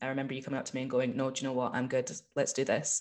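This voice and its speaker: A woman speaks with a Scottish accent. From Scotland, small town. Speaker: actor and musician. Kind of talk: casual interview chat. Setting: video call.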